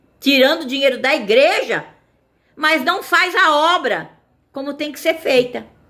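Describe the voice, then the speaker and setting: The speaker moves at a fairly slow pace. The intonation is lively. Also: woman. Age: 60s. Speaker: evangelical video preacher. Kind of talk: informal sermon. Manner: halting.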